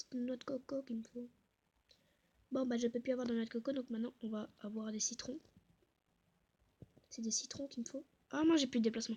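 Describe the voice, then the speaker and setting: Soft-spoken and high-pitched, a woman talks at a moderate pace with fairly even intonation. Her tone is dark and mellow. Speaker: gaming youtuber. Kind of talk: gameplay commentary.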